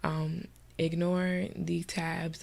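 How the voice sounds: A woman's nasal voice with vocal fry.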